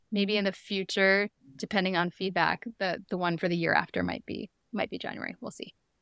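Monotone and flat, a woman's medium-pitched voice moves at a fairly quick pace. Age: 40s. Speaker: physician and blogger. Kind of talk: casual chat. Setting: podcast interview.

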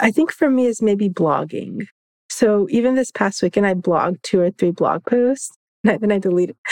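With an American accent and a normal speaking voice, a woman talks at a moderate pace with lively intonation and very even loudness, in a dry, close sound with no echo. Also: medium pitch for a woman. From Florida, Orlando area. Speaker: law professor and environmental justice advocate. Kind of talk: interview.

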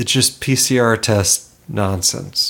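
Very slow speech with ordinary pitch variation. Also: man. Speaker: podcast co-host. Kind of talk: casual chat. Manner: sarcastic.

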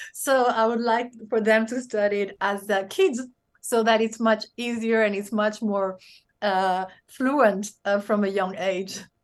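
The woman's pitch is fairly high and her intonation fairly even. She speaks at a fairly slow pace against a quiet background. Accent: Spanish. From Spain, raised across several countries. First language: Spanish. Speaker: business leader and speaker. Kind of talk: interview conversation. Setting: video call.

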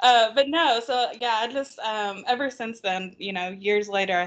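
An unremarkable speaking voice moves at a moderate pace, its pitch varying in an ordinary way. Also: woman. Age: 30s. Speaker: fan site admin and co-host. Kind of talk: casual chat.

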